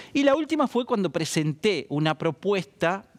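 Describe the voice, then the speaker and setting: Speaking in a Rioplatense accent, a man moves at a moderate pace with very wide pitch swings. The sound is dry and close, with no echo. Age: 60s. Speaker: economist. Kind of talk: interview.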